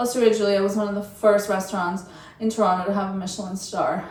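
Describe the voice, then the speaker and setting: Audible room echo surrounds a woman's voice. She speaks with a non-native accent. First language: not English. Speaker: lifestyle and travel vlogger. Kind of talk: casual review monologue to camera. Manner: conversational, with hesitations and fillers.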